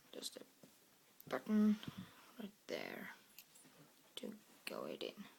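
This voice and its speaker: The speaker is whispering. The accent is Norwegian. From Norway. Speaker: product reviewer. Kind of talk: product review tutorial.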